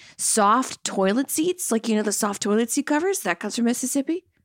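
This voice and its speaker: A woman with an American accent and a fairly high pitch uses lively intonation in a very clean recording with a silent background and a dry, close sound with no echo. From Louisiana, US South. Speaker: podcast co-host. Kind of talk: casual chat.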